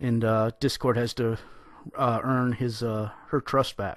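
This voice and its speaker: Over a quiet background, a man speaks fairly slowly in a bright, sharp tone, the sound dry with no echo. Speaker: fan commentator. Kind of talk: casual commentary. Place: home room. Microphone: studio mic.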